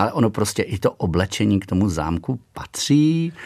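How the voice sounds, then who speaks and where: A man talks at a fairly slow pace. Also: very clean recording, silent background. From Czechia, Nymburk area (central Bohemia). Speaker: castle steward, former history teacher. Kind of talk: radio interview. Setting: radio studio.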